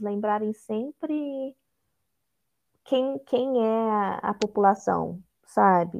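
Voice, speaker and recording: With ordinary pitch variation, a woman talks in a fairly high register. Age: 20s. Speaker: psychology student and HR intern. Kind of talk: casual interview.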